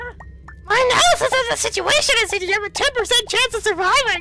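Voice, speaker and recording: An extremely high-pitched, put-on character voice at a moderate pace over loud music in the background. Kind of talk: flat, machine-like. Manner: robotic, matter-of-fact.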